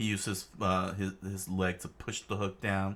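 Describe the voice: The clip consists of plain reading aloud.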